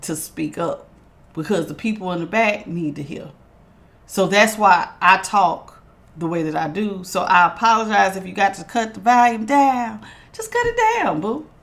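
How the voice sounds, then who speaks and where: Loud and fairly slow, a woman speaks with lively intonation. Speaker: tarot reader. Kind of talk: tarot reading. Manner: authoritative.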